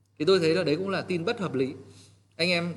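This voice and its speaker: A man talks at a very fast pace, with audible room echo. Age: 30s. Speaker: real estate team leader. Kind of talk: training talk. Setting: livestream. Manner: halting, many fillers.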